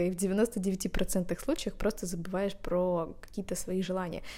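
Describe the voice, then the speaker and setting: Here a woman is talking. Her delivery comes at a very slow pace. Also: very clean recording, silent background. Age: 20s. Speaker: podcast host. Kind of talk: solo podcast monologue; reading aloud. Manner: animated.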